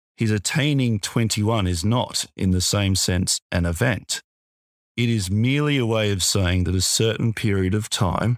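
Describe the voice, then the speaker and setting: A man with an Australian accent talks at a fairly slow pace and a fairly low pitch, with ordinary pitch variation. The sound is dry and close with no echo, a very clean recording with a silent background. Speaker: lawyer podcast host. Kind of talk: casual professional discussion of a legal case.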